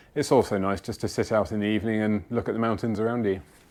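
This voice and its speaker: Delivered at a very fast pace, the speech has fairly even intonation and a British accent. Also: man. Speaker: outdoors vlogger. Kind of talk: gear tutorial.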